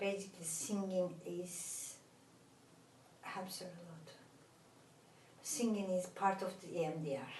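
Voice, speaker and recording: With a Turkish accent and a somewhat breathy, medium-pitched voice, a woman speaks at a fairly slow pace with long, frequent pauses, fairly even intonation and big swings in loudness, in audible room echo. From Turkey. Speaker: therapist. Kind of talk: interview. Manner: halting, many fillers.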